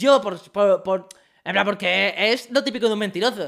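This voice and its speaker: Moderately paced speech comes through on a very clean recording against a silent background. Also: man. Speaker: streamer hosting a live interview. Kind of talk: casual chat on a livestream.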